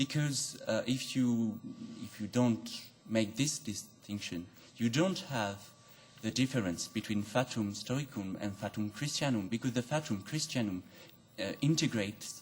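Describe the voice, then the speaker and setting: This speaker has a non-native accent and a somewhat breathy voice. The pace is fairly slow, with ordinary pitch variation. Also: man, medium pitch for a man. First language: not English. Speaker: audience member at philosophy talk. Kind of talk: academic Q&A question. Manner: halting.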